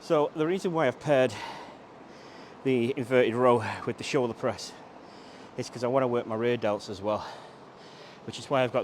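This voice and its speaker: There is noticeable background noise. A man talks over it at a fairly quick pace. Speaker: fitness trainer. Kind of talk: workout tutorial. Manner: loud.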